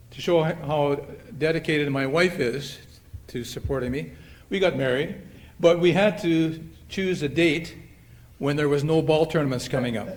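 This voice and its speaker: With a Canadian Prairie accent, a man speaks at a moderate pace and a fairly high pitch, his pitch varying in an ordinary way, with long, frequent pauses and audible room echo. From Canada, Manitoba (Winnipeg). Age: 70s. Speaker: retired softball player, hall of fame inductee. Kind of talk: acceptance speech. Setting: banquet hall with audience. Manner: halting, with many fillers.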